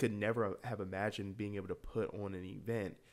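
A man with an American accent speaks at a moderate pace in a fairly low pitch. His intonation is monotone and flat, on a very clean recording with a silent background. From US South, Atlanta, Georgia. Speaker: youth football community worker and DJ. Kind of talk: interview.

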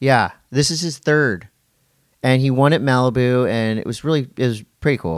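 A man's normal speaking voice at medium pitch and moderate pace, with ordinary pitch variation, on a very clean recording with a silent background. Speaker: event host and podcaster. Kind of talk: casual banter podcast.

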